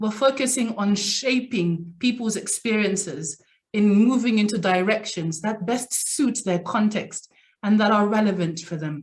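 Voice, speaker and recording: A woman talks at a fairly slow pace. Her fairly high voice is somewhat breathy. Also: ordinary pitch variation. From Zambia. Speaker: executive coach. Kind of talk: lecture.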